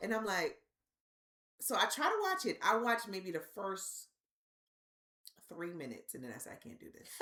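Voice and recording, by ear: Her loudness swings widely as the woman talks at a moderate pace. She leaves long, frequent pauses. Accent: New York.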